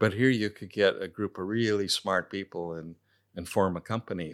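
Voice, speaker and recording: A fairly low-pitched man with an American accent, moderate pace and ordinary pitch variation, in a very clean recording with a silent background. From California, US. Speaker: entrepreneur and tech investor. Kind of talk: interview. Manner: halting, with frequent repeated words.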